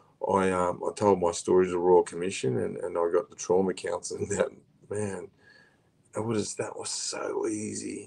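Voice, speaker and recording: The speaker is a man talking at a moderate pace. He has an Australian accent. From Queensland, Australia. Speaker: former prisoner and abuse survivor advocate. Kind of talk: interview, life story. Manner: animated.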